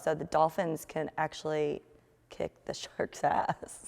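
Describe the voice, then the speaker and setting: A woman with a fairly low pitch speaks in a Georgia accent against a quiet background. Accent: Southern American (Georgia). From Marietta, Georgia. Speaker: wine market manager. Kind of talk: interview answer. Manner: energetic, casual.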